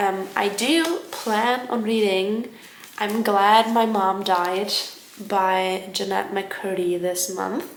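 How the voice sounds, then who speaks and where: Speaking with a German accent, a woman talks at a medium pitch and a very slow pace with ordinary pitch variation. Audible room echo and noticeable background noise surround her. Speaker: book vlogger. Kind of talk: casual vlog talk. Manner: hesitant, filler-heavy.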